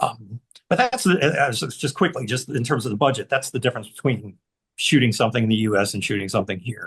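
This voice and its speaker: Talking at a very fast pace, a man uses a somewhat breathy, medium-pitched voice with ordinary pitch variation. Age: 60s. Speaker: author and filmmaker. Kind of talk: casual chat. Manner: halting.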